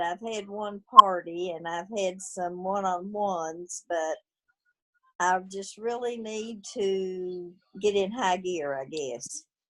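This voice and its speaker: With a Southern US accent, a woman speaks at a very slow pace in a bright, sharp tone with ordinary pitch variation. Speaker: new direct-sales team member. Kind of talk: group introduction.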